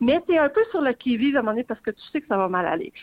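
A woman speaks with a Quebec accent. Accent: Québécois French. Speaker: arts journalist. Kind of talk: casual radio interview about books.

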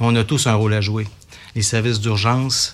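Against noticeable background noise, a man with a Quebec accent speaks at a fairly quick pace and a fairly low pitch, in a monotone with flat intonation. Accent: Québécois French. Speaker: civil security division chief. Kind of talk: radio interview. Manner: formal.

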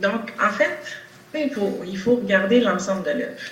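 Audible room echo and noticeable background noise surround speech delivered at a fairly slow pace. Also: woman. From Quebec, Longueuil. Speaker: nurse and political candidate. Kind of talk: political debate. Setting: video call.

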